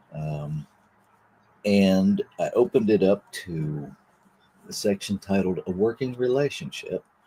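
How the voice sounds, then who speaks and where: A man's somewhat breathy voice has a dark, mellow tone and very wide pitch swings. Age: 60s. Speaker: minister. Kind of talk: reading and spiritual reflection. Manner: reflective, with fillers.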